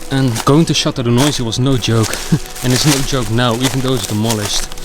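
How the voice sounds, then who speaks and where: Fairly quick speech over music in the background. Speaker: urban explorer vlogger. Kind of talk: vlog commentary. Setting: outdoors.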